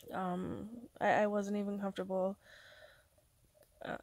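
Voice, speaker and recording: A quiet woman speaks at a fairly slow pace. Her pitch is fairly high. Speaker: vlogger. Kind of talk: casual vlog monologue. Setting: alone at home, recording to camera. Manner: halting, hesitant with fillers.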